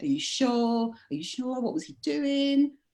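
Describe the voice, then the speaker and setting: A woman speaks with a London accent. The recording is very clean, with a silent background. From London, England. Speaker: leadership coach. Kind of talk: casual chat.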